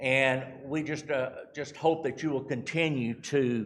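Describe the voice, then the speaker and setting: In a room with audible echo, a man with a Texan accent speaks fairly slowly, his intonation fairly even. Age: 60s. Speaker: charity representative. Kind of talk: church mission talk. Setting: church. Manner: halting.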